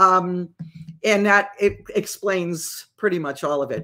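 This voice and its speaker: With an American accent, a woman speaks at a fairly slow pace in a bright, sharp tone with vocal fry. The recording is very clean with a silent background. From Massachusetts. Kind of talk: casual livestream teaching. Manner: conversational, with frequent fillers.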